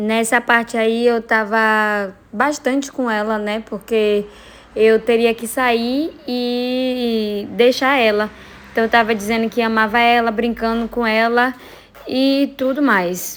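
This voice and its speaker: Delivery is very slow, with a monotone, flat intonation. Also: woman, fairly high pitch for a woman. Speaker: vlogger. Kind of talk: personal vlog.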